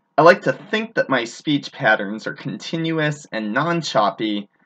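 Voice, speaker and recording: Over a quiet background, a bright, sharp voice with vocal fry makes very wide pitch swings. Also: man. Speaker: blogger. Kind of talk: reading aloud. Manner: articulate.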